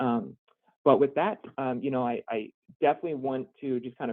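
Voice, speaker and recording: A man at a medium pitch with ordinary pitch variation. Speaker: state business program manager. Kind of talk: webinar presentation. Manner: fast.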